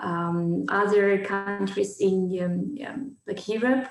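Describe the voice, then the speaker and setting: Noticeable background noise and audible room echo accompany the speaker. She is a woman with medium pitch. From Ukraine, Kharkiv. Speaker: businesswoman. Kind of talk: interview. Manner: halting, many fillers.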